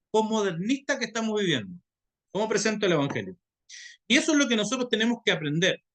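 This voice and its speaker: Intonation is lively as a man talks in a high register. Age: 50s. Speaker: pastor and theology teacher. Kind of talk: lecture. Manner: halting.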